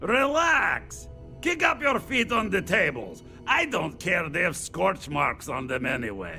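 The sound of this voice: Over faint music in the background, a man puts on a character voice, high in pitch with a bright, sharp tone, vocal fry and big pitch swings, at a fairly slow pace.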